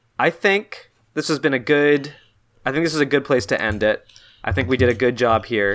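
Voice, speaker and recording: At a fairly quick pace, a man with a plain, everyday voice speaks at medium pitch with lively intonation. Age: 20s. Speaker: podcast host. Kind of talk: casual chat. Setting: remote call recording.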